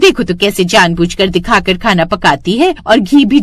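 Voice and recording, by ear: The reading is done aloud in a natural voice, and the intonation is lively.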